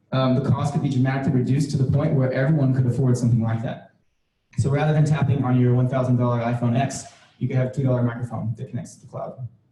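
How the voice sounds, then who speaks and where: A man speaks at a very fast pace, with a medium pitch and an American accent. His intonation is monotone and flat, and the room echo is audible. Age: young. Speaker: UX designer speaking at meetup. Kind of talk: tech talk presentation. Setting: meetup stage with audience.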